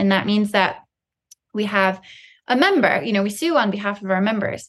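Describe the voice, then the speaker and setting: Her pitch shows ordinary variation. The woman talks with an American accent. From Colorado, US. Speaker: wildlife conservation attorney. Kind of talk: interview.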